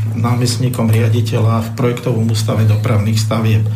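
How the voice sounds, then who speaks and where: Amid noticeable background noise and audible room echo, a man talks at a medium pitch. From Slovakia, Bratislava. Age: 60s. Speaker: economist and former ship officer. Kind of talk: radio talk show discussion. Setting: radio studio.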